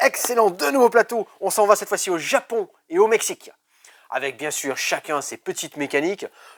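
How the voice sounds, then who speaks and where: Loud and enthusiastic, a man talks at a fairly quick pace. The recording is very clean, with a silent background. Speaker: board game shop staff presenting games. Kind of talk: product presentation video. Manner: enthusiastic salesy.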